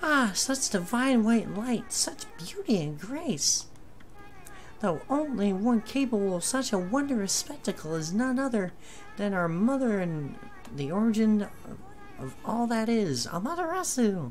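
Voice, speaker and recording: A put-on character voice at a fairly high pitch moves at a moderate pace over clear background noise. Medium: actual play. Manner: solemn, dramatic.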